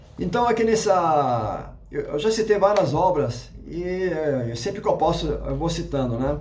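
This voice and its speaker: A man's fairly slow, lively-toned speech with audible room echo. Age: 60s. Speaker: YouTube religious educator. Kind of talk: casual lecture. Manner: halting, many fillers and restarts.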